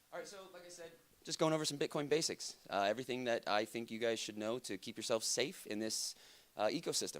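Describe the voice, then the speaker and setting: A man talks at a very fast pace with lively intonation. His loudness swings widely. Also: medium pitch for a man. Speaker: conference speaker. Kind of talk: lecture.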